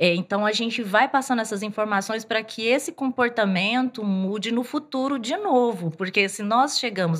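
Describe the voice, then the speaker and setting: The recording is very clean, with a silent background. A woman speaks at a fairly slow pace with a fairly high pitch. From Bahia backlands, Brazil. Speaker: fashion designer. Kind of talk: casual interview.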